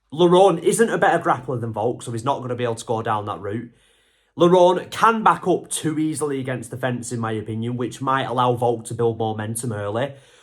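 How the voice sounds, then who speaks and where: A man with an English accent, animated in tone, with lively intonation and a fairly quick pace, in a very clean recording with a silent background. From England. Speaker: MMA YouTuber. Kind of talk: casual analysis monologue. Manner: conversational, animated.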